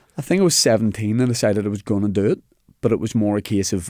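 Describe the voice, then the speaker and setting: In a Northern Irish accent, a man speaks at a fairly quick pace with a dark, mellow tone, fairly low pitch and ordinary pitch variation, in a dry, close sound with no echo. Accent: Northern Irish (Belfast). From Northern Ireland, Belfast. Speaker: comedian. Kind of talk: casual chat.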